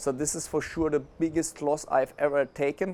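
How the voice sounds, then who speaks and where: This man talks at a moderate pace, his pitch fairly high. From Germany. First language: German. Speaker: affiliate marketing entrepreneur. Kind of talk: interview.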